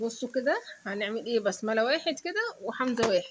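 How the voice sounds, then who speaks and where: Against noticeable background noise, a woman with a fairly high pitch speaks at a moderate pace. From Egypt, Suez. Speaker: mother and family channel host. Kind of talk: family quiz game with her children.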